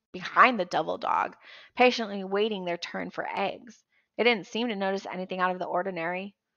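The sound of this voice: Quiet background behind an unforced reading voice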